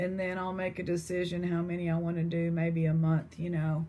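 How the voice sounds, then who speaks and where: In an East Texas accent, a woman speaks at a moderate pace with fairly low pitch. Her tone is dark and mellow, and somewhat breathy. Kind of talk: casual chat.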